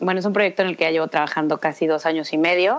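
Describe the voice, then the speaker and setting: A woman speaks in a normal speaking voice, her fairly low pitch held in fairly even intonation. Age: 30s. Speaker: fashion stylist and bridal shop founder. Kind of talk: interview.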